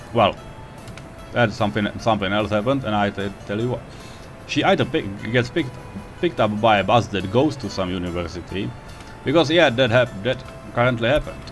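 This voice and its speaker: Music sounds in the background as a man talks at a fairly quick pace with lively intonation and long, frequent pauses. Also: medium pitch for a man. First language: not English. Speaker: video game player. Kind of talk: casual gameplay commentary. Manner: unscripted, hesitant.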